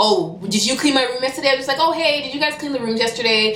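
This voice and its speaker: With lively intonation and a high pitch, a woman talks while noticeable background noise carries on. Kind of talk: casual story time to camera. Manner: fast.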